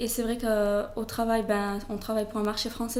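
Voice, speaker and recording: Monotone, flat delivery at a fairly quick pace comes through with audible room echo. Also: woman. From southern France, Toulouse. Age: 20s. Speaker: blogger, expat. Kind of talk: interview. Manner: hesitant, many fillers.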